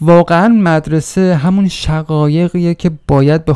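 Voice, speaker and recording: Fairly slow in pace, a man speaks with a dark, mellow tone. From Iran, a provincial town. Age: 40s. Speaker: podcaster. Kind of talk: personal narrative monologue.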